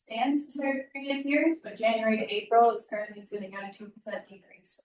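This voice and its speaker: Speaking at a very fast pace, a woman with a fairly high pitch uses ordinary pitch variation. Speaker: tourism presenter. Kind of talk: formal presentation. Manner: trying to speak loud.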